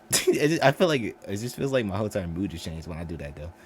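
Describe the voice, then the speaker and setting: A man with a fairly low voice talks at a very fast pace, his tone animated and his intonation lively. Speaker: reaction video creator. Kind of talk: casual reaction commentary.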